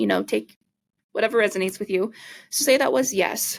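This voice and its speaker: A woman speaks at a fairly quick pace in a fairly high pitch. Her voice has vocal fry and ordinary pitch variation. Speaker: podcast host and energy healer. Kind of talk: casual podcast monologue. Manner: fast.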